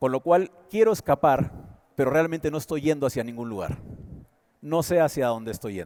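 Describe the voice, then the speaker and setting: Dark and mellow in tone, a man speaks at a moderate pace with a fairly high pitch. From Peru. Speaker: conference speaker, advertising executive. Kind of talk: motivational talk.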